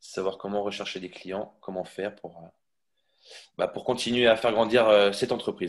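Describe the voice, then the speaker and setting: The intonation stays fairly even at a moderate pace, broken by long, frequent pauses. Loudness swings widely from moment to moment. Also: man, fairly low pitch for a man. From Brittany, Quimper. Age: 20s. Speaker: fitness coach. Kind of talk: testimony interview. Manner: halting, many fillers.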